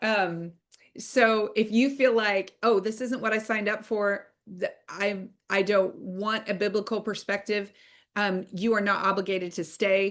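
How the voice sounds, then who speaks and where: In a normal speaking voice, a woman with a medium pitch talks at a fairly slow pace with fairly even intonation against a quiet background. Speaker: online course instructor. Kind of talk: online class lecture.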